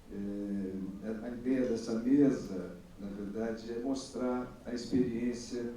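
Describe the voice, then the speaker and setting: Amid noticeable background noise and audible room echo, a man speaks in a fairly low, monotone, flat voice. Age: 60s. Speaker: bookseller, panelist. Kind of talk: panel talk. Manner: hesitant, many fillers.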